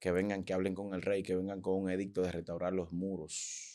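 Against a quiet background, a man with a very deep, low voice speaks in a flat monotone. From Dominican Republic. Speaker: preacher and prophet; preacher. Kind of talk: interview conversation. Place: studio. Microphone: studio mic.

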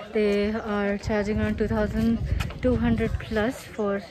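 Recorded with a dry sound and no echo, a woman speaks over noticeable background noise. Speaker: travel vlogger. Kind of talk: casual vlog chat. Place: waterside. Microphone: phone near.

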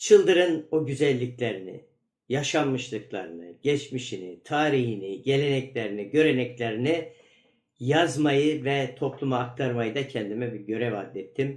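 Medium pitch from a man, with ordinary pitch variation at a fairly slow pace. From northeastern Turkey, Ardahan (Çıldır). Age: 60s. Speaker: teacher and author. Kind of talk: recorded video message. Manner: halting, frequent filler sounds.

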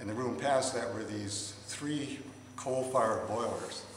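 Over noticeable background noise, a man speaks at a fairly slow pace with fairly even intonation. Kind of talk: interview answer. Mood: amused, anecdotal. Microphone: phone near.

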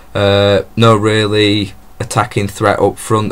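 Here a man talks at a fairly low pitch. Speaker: football fan vlogger. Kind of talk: casual vlog chat. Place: home room. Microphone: webcam.

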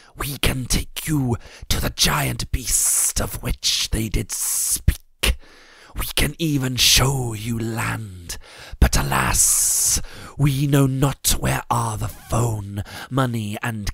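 Putting on a character voice, a man hisses his words at a very slow pace in a medium pitch. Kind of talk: archaic speech. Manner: humble, hissing.

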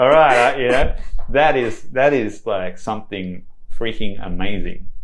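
Speaking with an Australian accent, this man has vocal fry and very wide pitch swings. He talks at a fairly slow pace. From Sydney, Australia. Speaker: branding agency founder. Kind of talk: podcast interview answer. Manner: excited, energetic.

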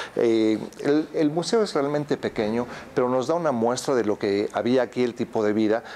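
With light background noise behind him, a man speaks fairly quickly, his pitch varying in an ordinary way. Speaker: travel vlogger. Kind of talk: travel vlog commentary. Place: hall.

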